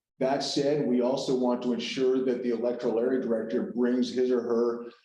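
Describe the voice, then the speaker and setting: A man talks at a medium pitch. The room echo is audible. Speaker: meeting facilitator. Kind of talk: committee meeting briefing. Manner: halting, many restarts.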